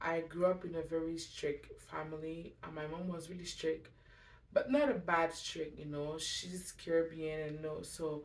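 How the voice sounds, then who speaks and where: In a French accent, the speaker goes at a fairly slow pace with big swings in loudness. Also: woman, fairly low pitch for a woman, fairly even intonation. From Montreal, Quebec. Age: 20s. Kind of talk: testimony. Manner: halting; casual.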